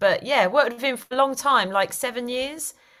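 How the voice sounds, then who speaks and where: Delivered at a fairly quick pace, the speech has lively intonation and a Cockney accent. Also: woman. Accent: London (Cockney-type) English. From East London. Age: 40s. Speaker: actor and writer. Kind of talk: casual interview.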